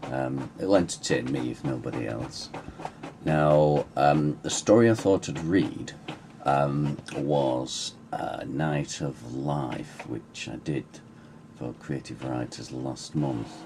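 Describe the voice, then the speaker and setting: Very deep, low male speech at a very slow pace over noticeable background noise. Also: ordinary pitch variation. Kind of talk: casual talk to camera.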